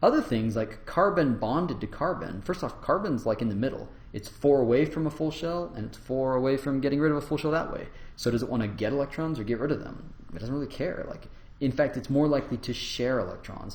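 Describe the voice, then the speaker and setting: At a very fast pace, a man talks at a medium pitch with ordinary pitch variation, and audible room echo. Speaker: university lecturer. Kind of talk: lecture.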